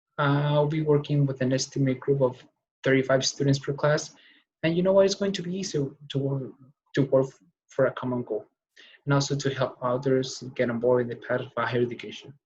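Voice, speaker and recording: A man talks at a fairly quick pace with ordinary pitch variation. His voice is somewhat breathy. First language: not English. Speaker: college student. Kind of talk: class speech. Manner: fast; halting.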